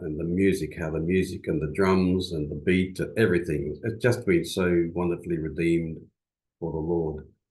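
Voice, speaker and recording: A man with an Australian accent and a very deep, low pitch talks at a moderate pace with ordinary pitch variation. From Western Australia, rural bush. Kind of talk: seminar talk. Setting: video call. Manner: hesitant, many fillers.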